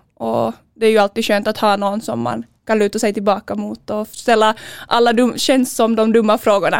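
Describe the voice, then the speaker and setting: In a Finland-Swedish accent, a woman with a fairly high pitch speaks at a moderate pace with monotone, flat intonation, the sound dry and close with no echo. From Finland (Finland-Swedish), Sjundeå. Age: 20s. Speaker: handball player. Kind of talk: interview.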